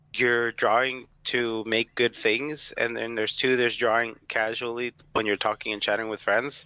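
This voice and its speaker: Loud and bright with a sharp tone, a man speaks at a medium pitch and moderate pace in a flat monotone with hardly any pauses, the sound dry and close with no echo over a quiet background. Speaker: artist. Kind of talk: casual chat.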